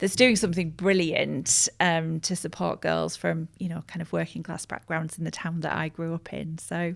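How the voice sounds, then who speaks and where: Speaking at a moderate pace with a Teesside accent and hardly any pauses, the voice comes through on a very clean recording against a silent background. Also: woman. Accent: northern English (Teesside). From northern England, Middlesbrough (Teesside). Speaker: communications agency director. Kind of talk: podcast interview.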